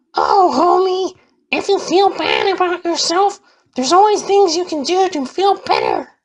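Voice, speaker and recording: Using a squeaky, put-on character voice, a man speaks at a moderate pace with an extremely high pitch. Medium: solo performance. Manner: gentle.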